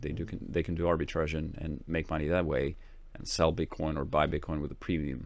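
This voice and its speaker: Vocal fry marks this man's very deep, low-pitched voice. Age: 30s. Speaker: tech company co-founder and CTO. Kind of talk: interview. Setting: face-to-face on a boat trip. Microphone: professional equipment.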